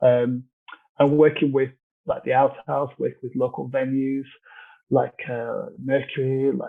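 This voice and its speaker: A man talks with monotone, flat intonation at a fairly slow pace, leaving long, frequent pauses. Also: medium pitch for a man. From northern England, Leeds. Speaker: charity chair, event organiser. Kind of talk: casual interview.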